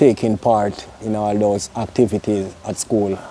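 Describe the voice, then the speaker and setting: A man speaks with a Jamaican accent. His voice is fairly low in pitch, with a dark, mellow tone. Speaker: interviewer. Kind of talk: interview.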